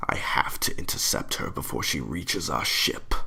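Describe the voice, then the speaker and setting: A man whispers in a put-on character voice. He keeps a moderate pace. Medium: read story. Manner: stern, cold, domineering.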